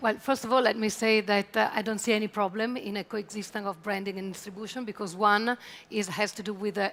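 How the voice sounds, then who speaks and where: Very fast and monotone with flat intonation, a woman talks at medium pitch with an Italian accent. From Italy. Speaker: travel tech executive. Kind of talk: conference panel discussion.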